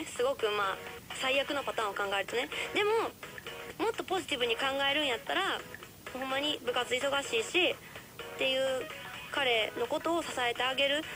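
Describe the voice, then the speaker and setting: A woman speaks in a raised, projected voice with a Kansai accent, leaving long, frequent pauses. Music plays clearly in the background. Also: moderate pace. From Kansai, Japan. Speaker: radio host. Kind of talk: radio advice talk. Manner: passionate. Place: studio.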